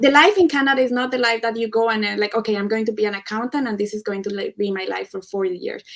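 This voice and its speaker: A woman speaks very fast with a strong Spanish accent, her fairly high voice showing ordinary pitch variation and hardly any pauses. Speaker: Canadian immigrant panelist. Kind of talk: live panel debate.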